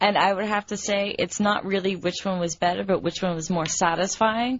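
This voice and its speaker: Speaking at a moderate pace, a woman uses medium pitch and fairly even intonation. Hers is an unremarkable speaking voice. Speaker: studio guest. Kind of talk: casual chat.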